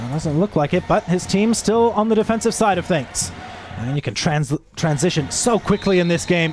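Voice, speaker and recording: At a moderate pace, the voice moves with lively intonation over noticeable background noise. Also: man, high pitch for a man. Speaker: sports commentator. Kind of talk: live commentary.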